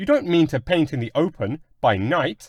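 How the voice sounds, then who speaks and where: In a put-on character voice, a man talks at a moderate pace with fairly high pitch and lively intonation, the sound dry and close with no echo. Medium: read story. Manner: polite, refined.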